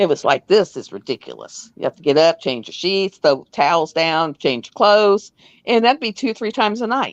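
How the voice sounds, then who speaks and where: A woman with a medium pitch and vocal fry speaks at a moderate pace, using very wide pitch swings and big swings in loudness, in a dry, close sound with no echo against a quiet background. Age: 60s. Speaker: live streamer; US military veteran. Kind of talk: casual chat. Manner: animated.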